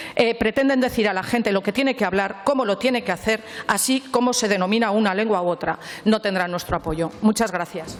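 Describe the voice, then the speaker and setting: Speaking at a fairly quick pace, a woman uses a southern Aragonese accent and a fairly high pitch. Her pitch variation is ordinary, and noticeable background noise can be heard. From southern Aragon, Spain. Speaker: regional parliament member. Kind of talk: parliamentary speech. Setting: parliament chamber.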